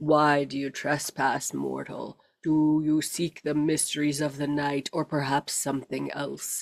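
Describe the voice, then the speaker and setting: In a booming, put-on character voice at a low-to-middle pitch, the speaker moves at a fairly slow pace with hardly any pauses. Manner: ominous, challenging.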